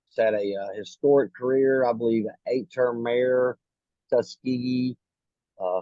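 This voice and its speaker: Here a man with an unremarkable speaking voice talks at a fairly slow pace, at medium pitch with ordinary pitch variation. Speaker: interviewer, show host. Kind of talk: interview introduction.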